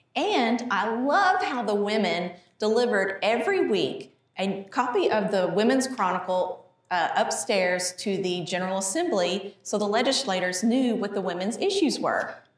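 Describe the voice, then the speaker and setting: Audible room echo surrounds this woman's voice. She has a medium pitch, ordinary pitch variation and a moderate pace. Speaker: museum educator. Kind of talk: educational gallery talk. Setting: museum hallway. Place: hall. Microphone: lapel.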